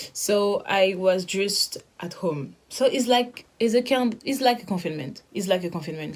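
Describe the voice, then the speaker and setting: With a French accent and lively intonation, a woman speaks at a medium pitch and moderate pace over noticeable background noise. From France. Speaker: interviewee sharing lockdown experience. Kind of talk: casual video testimony. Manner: halting.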